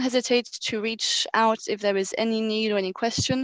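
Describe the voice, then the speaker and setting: A woman talks at a fairly high pitch with fairly even intonation. The sound is dry and close with no echo, over a quiet background. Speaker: donor agency representative. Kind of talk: closing remarks at online event. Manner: fast.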